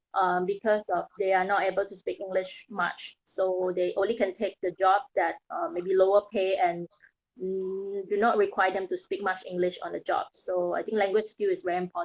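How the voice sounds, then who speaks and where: A woman with a Thai accent speaks at a moderate pace with fairly even intonation. The sound is dry and close, with no echo. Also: medium pitch for a woman. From Thailand. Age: 30s. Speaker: mindset coach. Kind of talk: interview. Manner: hesitant, with fillers.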